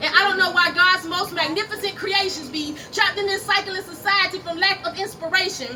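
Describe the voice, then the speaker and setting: Projecting her voice at an extremely high pitch, a woman talks at a fairly quick pace with hardly any pauses over noticeable background noise. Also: ordinary pitch variation. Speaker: spoken word poet. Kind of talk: spoken word poetry performance. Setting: live at a cafe open mic.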